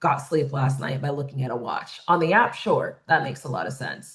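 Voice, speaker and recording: A woman speaks in a somewhat breathy voice. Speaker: workshop facilitator. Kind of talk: webinar presentation. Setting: online webinar.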